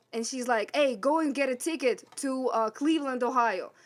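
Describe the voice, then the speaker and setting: On a very clean recording with a silent background, a woman with a Russian accent speaks at a high pitch. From Russia, Siberia. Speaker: sound engineer. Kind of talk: casual chat.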